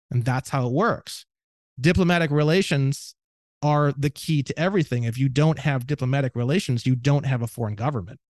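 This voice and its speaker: A man with a Midwestern American accent talks fairly quickly in an animated tone, his pitch fairly high and its variation ordinary. The sound is dry and close with no echo, over a quiet background. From northwest Indiana, near Gary. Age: 30s. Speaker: legal researcher and podcaster. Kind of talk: casual chat. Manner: loud.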